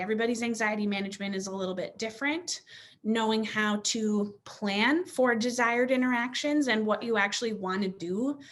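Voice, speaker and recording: A woman's fairly high voice with ordinary pitch variation and hardly any pauses. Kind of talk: webinar presentation. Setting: online webinar. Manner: fast.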